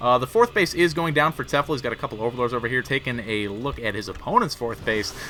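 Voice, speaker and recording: A man at a very fast pace, hardly any pauses, and noticeable background noise. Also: medium pitch for a man, ordinary pitch variation. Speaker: video game commentator. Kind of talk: live commentary. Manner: animated.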